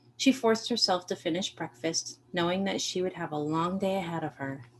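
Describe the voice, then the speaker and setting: A woman talks at a fairly quick pace with lively intonation in an unremarkable speaking voice, with an American accent. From Maine, US. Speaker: author and artist. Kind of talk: reading aloud.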